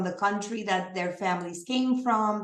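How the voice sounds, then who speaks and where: A woman speaks at a fairly slow pace with medium pitch and ordinary pitch variation. Audible room echo surrounds her voice. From Puerto Rico. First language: Spanish. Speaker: nonprofit community leader. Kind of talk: presentation.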